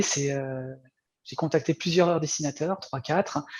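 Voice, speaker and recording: This man's voice is fairly high and somewhat breathy, moving at a moderate pace with fairly even intonation. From France. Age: 40s. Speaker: former video game programmer turned comic artist. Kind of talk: interview. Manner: halting, many fillers.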